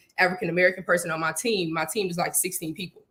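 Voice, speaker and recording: This woman speaks with a Houston accent. Her voice is fairly low. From Houston, Texas. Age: 20s. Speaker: software engineer and snake breeder. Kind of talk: interview. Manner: animated.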